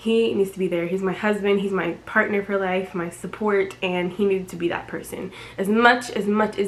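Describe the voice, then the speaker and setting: A woman talks with fairly even intonation at a medium pitch while noticeable background noise sits behind her. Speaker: vlogger. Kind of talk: casual vlog narration. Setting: hospital room.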